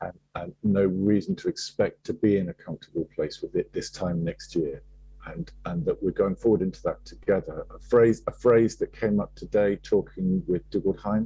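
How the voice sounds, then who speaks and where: A man talks at a moderate pace, with a dry, close sound and no echo. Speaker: conversation host. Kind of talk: casual chat. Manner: soft-spoken; mumbling.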